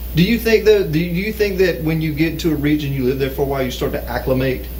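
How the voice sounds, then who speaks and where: A man with a Southern US accent talks very fast at a fairly high pitch with ordinary pitch variation. Noticeable background noise runs underneath. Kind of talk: casual talk show conversation.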